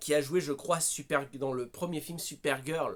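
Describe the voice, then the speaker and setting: The man's delivery comes at a very slow pace. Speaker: film reviewer. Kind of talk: casual film review monologue. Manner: raised voice, agitated.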